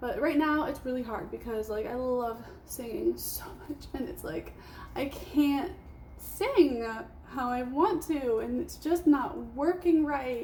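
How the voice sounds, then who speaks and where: A woman with a high pitch speaks at a fairly slow pace with lively intonation. Her loudness swings widely, and there is noticeable background noise. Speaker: vlogger. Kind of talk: casual monologue vlog.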